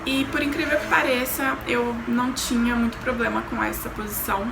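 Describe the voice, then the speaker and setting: A soft-spoken woman at a moderate pace, with audible room echo and noticeable background noise. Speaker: YouTuber sharing exchange-work experience. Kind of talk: casual vlog talk.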